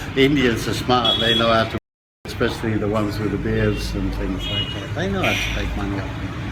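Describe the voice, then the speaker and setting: The man speaks at a fairly quick pace. The room echo is audible. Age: 70s. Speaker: dry fasting teacher. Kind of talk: interview.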